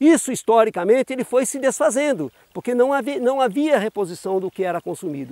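Recorded dry with no echo against a quiet background, a man with an extremely high pitch and a dark, mellow tone talks at a fairly quick pace with lively intonation. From Brazil, São Paulo state (Jarinu / Bragança Paulista); São Paulo state, Brazil. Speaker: union communications adviser; expert or local commentator. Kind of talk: interview statement on water crisis. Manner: formal. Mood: serious, concerned. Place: open country. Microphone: lapel.

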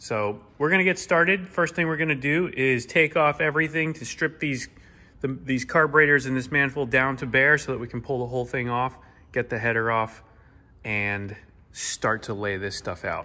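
A man's bright, sharp tone with ordinary pitch variation. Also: moderate pace. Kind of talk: casual work vlog commentary. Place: workshop. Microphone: phone near.

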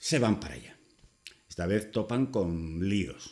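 A man's fairly low voice comes through with little else to be heard behind it. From Spain. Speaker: YouTuber. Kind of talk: opinion monologue. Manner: casual. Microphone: webcam.

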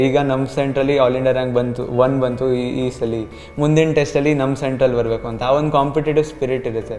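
Music can be heard behind the speech. The voice belongs to a man. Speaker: student, medical entrance exam topper. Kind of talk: interview answer. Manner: soft-spoken. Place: classroom. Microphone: handheld.

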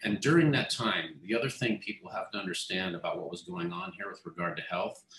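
A man talks in a room with audible echo, while light noise sits in the background. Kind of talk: interview answer. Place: office. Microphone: video call.

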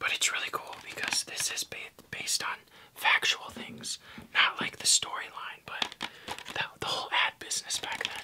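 Whispering in a relaxed tone, a man keeps a moderate pace. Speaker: ASMR creator. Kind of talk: ASMR casual talk to camera. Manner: soft-spoken, relaxed. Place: home room.

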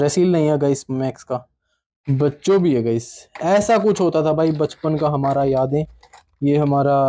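A man speaks at a fairly slow pace with a fairly high pitch and a dark, mellow tone. His loudness stays very even, broken by long, frequent pauses. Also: ordinary pitch variation. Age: 20s. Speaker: toy unboxing YouTuber. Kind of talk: casual unboxing video. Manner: animated. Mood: nostalgic, cheerful. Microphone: phone near.

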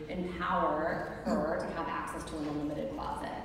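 A woman talks at a moderate pace amid strong room echo and noticeable background noise. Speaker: panelist. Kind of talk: interview answer. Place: stage.

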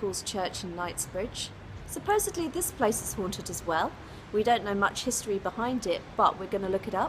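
Light background noise sits under the recording. A woman moves along at a fairly quick pace. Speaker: vlogger. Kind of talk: casual vlog chat. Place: street. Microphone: phone near.

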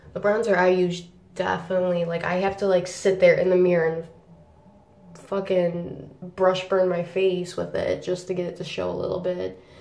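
A woman talks at a fairly slow pace, her voice carrying audible room echo. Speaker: beauty vlogger. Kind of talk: casual video review. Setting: home video. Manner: animated. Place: bathroom. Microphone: phone near.

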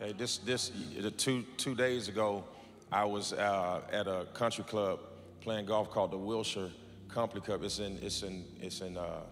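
A man speaks in a plain, everyday voice at a fairly slow pace, his pitch fairly low and his intonation fairly even, over light background noise. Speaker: pastor. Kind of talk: sermon. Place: church. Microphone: handheld.

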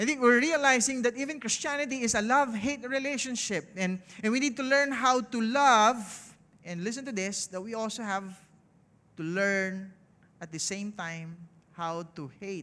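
Raised and projected, a man's high-pitched voice has a bright, sharp tone, lively intonation and big swings in loudness at a moderate pace. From Philippines. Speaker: pastor. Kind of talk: sermon. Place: stage. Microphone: headset.

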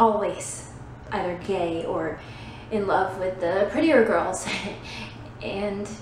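A woman speaks with ordinary pitch variation, big swings in loudness and long, frequent pauses, amid audible room echo and light background noise. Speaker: actor performing a monologue. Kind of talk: dramatic monologue. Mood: anxious, self-deprecating. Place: empty room. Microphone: phone near.

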